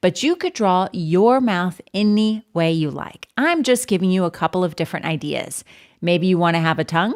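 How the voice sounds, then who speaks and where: In a very clean recording with a silent background, a woman uses a normal speaking voice at medium pitch with lively intonation. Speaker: art teacher. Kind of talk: tutorial.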